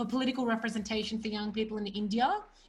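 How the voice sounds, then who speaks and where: A woman's fairly high-pitched voice with an Australian accent. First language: Punjabi. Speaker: event host and organizer. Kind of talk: online event introduction.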